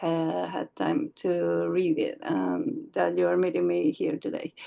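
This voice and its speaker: The woman's pace is fairly slow. She has a non-native accent. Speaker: comics artist and writer. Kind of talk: casual interview. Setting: video call.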